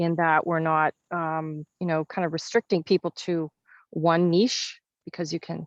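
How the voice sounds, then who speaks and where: A woman speaks at a fairly slow pace with a fairly low pitch and a slight Canadian accent. Her intonation is monotone and flat, over a quiet background. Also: dry, close sound with no echo. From Canada (Kenora, Ontario). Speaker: entrepreneur. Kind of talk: casual interview. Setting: video call.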